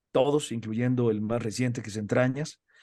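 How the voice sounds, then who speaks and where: A man speaks in a Mexican accent with a dark, mellow tone. His pitch is medium, with ordinary variation. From Mexico. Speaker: radio announcer and entertainment news presenter. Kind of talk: interview conversation. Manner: many fillers and repetitions.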